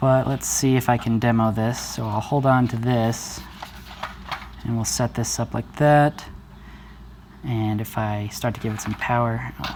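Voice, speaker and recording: A man mumbles at a fairly slow pace in a medium-pitched, flat monotone, with long, frequent pauses. Noticeable background noise runs under his voice. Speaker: hobbyist maker, video creator. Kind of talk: unscripted tutorial demo. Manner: mumbling a little; hesitant, with fillers.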